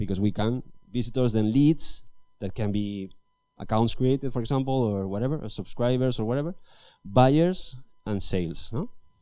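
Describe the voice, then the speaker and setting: Long, frequent pauses break up a voice with a dark, mellow tone, heard with audible room echo. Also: man. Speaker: engineering manager giving a talk. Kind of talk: conference talk. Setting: stage with audience. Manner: fast; halting, with false starts.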